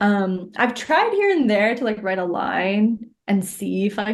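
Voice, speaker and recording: A woman speaks here. Her intonation is lively. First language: Urdu. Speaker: poet. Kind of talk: interview. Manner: casual, filler-heavy.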